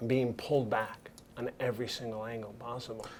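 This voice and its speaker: A man speaks with a New York accent. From Brooklyn, New York. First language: Italian. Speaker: cinematographer. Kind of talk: interview.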